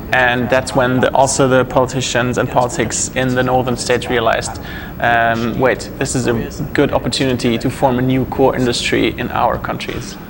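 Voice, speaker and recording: A man talks at a moderate pace and a medium pitch, his intonation monotone and flat. Noticeable background noise is present. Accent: German. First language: German. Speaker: interpreter and press officer. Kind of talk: interview interpretation.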